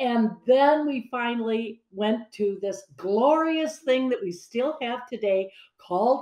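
A woman's fairly high voice with ordinary pitch variation, audible room echo and a quiet background. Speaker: business founder and entrepreneur. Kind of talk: interview. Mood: animated, cheerful. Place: home room. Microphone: video call.

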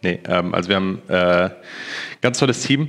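A man talks at a moderate pace with a fairly low pitch. It is an ordinary speaking voice. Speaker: esports media staffer. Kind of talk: casual livestream chat. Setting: voice chat. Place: office.

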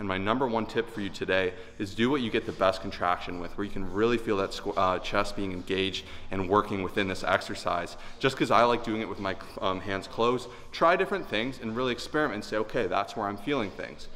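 A man's fairly low but bright, sharp voice at a very fast pace over light background noise. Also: ordinary pitch variation. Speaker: fitness coach. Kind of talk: tutorial. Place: gym.

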